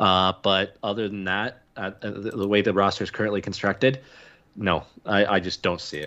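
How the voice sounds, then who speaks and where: Against a quiet background, a man with a Canadian accent talks at a moderate pace. His tone is bright and sharp, and his intonation fairly even. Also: fairly low pitch for a man. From Canada. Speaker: sports podcast co-host. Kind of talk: casual chat.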